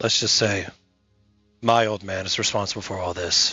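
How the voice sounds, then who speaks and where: Moderately paced, the put-on character voice comes out raspy. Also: man, fairly low pitch for a man. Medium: audio drama. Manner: measured, hesitant, grave.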